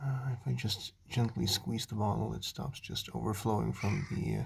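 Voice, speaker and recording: Vocal fry marks this man's voice as he speaks at a moderate pace with ordinary pitch variation. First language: not English. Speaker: car DIY reviewer. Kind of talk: product review tutorial. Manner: halting, many fillers.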